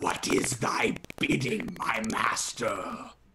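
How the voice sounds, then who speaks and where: A raspy, put-on character voice moves at a very slow pace. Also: man. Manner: sinister, servile.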